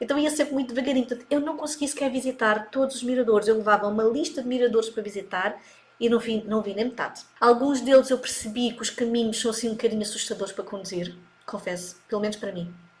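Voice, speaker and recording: A woman talks at a very fast pace in a fairly high pitch, with ordinary pitch variation. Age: 40s. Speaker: digital marketing coach. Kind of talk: casual chat.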